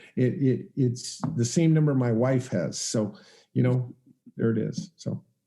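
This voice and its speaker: A man's somewhat breathy voice has a dark, mellow tone, a medium pitch, ordinary pitch variation and a fairly slow pace. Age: 60s. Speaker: real estate investor and educator. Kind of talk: interview. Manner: halting.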